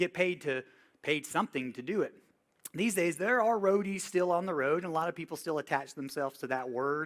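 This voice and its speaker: This man has a fairly high voice and a Southern US accent. He speaks fairly quickly with ordinary pitch variation. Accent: Southern US (Georgia). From US South, Georgia (Villa Rica, near Atlanta). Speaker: touring music tech and workshop instructor. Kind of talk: workshop lecture. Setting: classroom with live audience. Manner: casual, conversational.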